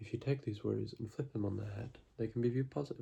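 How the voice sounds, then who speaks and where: Soft-spoken and with vocal fry, a man talks at a medium pitch and a very fast pace. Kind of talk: ASMR book reading to help viewers sleep.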